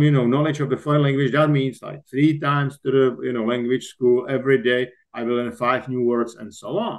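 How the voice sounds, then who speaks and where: At a moderate pace, a man with a Czech accent speaks at a medium pitch. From Czech Republic. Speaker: executive coach and author. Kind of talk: podcast interview. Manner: halting.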